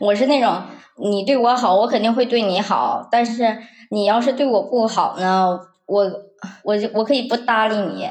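Fairly high-pitched and delivered at a moderate pace, this woman's speech is a plain, everyday voice with fairly even intonation and very even loudness. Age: 20s. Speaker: office worker sharing bullying story. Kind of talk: personal testimony.

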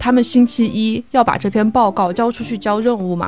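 The voice has ordinary pitch variation, with noticeable background noise present. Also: woman. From Chongqing, China. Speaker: podcast co-host, lawyer. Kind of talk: casual chat.

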